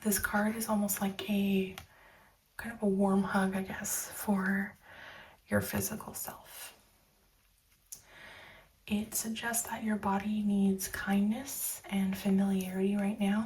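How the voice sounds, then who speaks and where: A soft-spoken woman with a medium pitch and a gentle, calm tone speaks at a very slow pace with long, frequent pauses. Her intonation is monotone and flat, with noticeable background noise behind her. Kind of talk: soft spoken tarot reading. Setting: ASMR recording. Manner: soft-spoken, gentle, calm.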